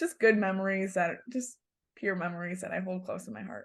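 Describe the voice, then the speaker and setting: With a northern US accent, a woman speaks at a medium pitch with ordinary pitch variation. The background is quiet. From Michigan, US. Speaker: national youth agriculture organization president. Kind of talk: podcast interview. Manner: animated.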